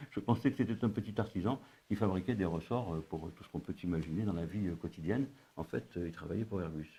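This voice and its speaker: A man's very deep, low voice, somewhat breathy and dark and mellow in tone, at a very fast pace. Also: ordinary pitch variation. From North Africa. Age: 70s. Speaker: retired civil servant and consultant. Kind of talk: interview. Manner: halting, many hesitations.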